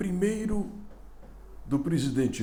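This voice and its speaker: A man's somewhat breathy voice with a dark, mellow tone and audible room echo. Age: 70s. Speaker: political commentator. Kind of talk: opinion commentary.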